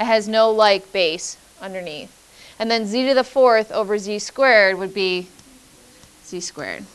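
Here a woman is talking. Her pace is moderate, with ordinary pitch variation. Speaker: math teacher. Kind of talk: lecture. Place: classroom.

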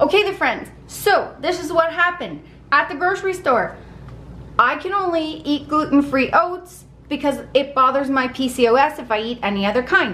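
A woman's high-pitched voice rises and falls with lively intonation. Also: moderate pace, fairly bright tone.

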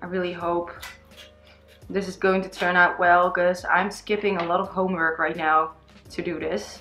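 Music plays in the background. A woman speaks at a fairly slow pace. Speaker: beauty vlogger. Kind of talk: makeup tutorial chat. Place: home room.

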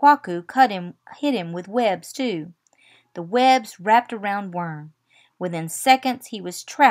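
Plain reading aloud with lively intonation comes through over a quiet background.

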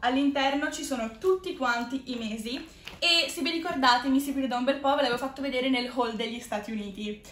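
The pace is fairly quick, with ordinary pitch variation. Audible room echo and light background noise are present. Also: woman, high pitch for a woman. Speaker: video creator. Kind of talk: casual vlog chat. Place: home room. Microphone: camera far.

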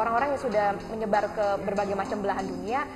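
Over clear background music, a woman speaks at a very fast pace with ordinary pitch variation. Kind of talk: interview answer. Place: cafe. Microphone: lapel.

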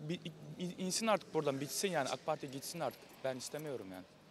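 A man talks at a very fast pace with a fairly high pitch and lively intonation. The sound is dry with no echo, over light background noise. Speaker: street interviewer. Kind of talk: street vox pop interviews. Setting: outdoors on the street. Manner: friendly, laughs often. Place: street. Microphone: handheld.

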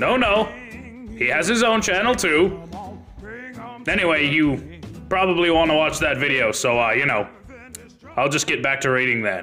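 Using a put-on character voice with a smug tone, a man speaks at a moderate pace and fairly high pitch, with long, frequent pauses over clear music in the background. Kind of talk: comic parody dub. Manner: smug, casual, self-satisfied.

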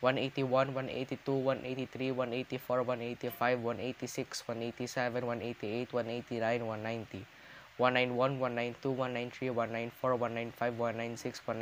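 Under light background noise, a man speaks at a very slow pace in a monotone, flat way. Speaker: youtuber. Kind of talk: counting aloud, casual vlog. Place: home room. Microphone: webcam.

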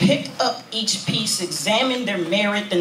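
A man speaks at a moderate pace. Audible room echo and light background noise surround his voice. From California. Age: 20s. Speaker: spoken word poet. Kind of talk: spoken word performance. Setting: stage with audience. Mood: intimate, reflective. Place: cafe. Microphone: handheld.

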